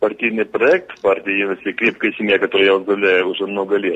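The speaker is a man with a fairly low pitch. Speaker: regional legislator and contest organiser. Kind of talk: radio interview. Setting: remote call. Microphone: dropped call.

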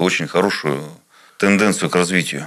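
A man's very deep, low voice with a bright, sharp tone. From Tulun, Irkutsk region, Siberia. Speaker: regional legislator, businessman. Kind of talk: interview.

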